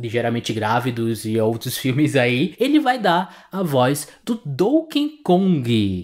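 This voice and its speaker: A man with an unremarkable speaking voice talks at a medium pitch with lively intonation, heard on a very clean recording with a silent background. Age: 30s. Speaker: podcast host. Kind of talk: casual chat.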